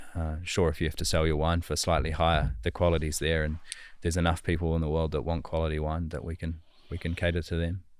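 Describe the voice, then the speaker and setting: With a very clean recording and a silent background, a man in a New Zealand accent talks at a very fast pace in a very deep, low pitch with monotone, flat intonation. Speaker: winemaker. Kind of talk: interview answer.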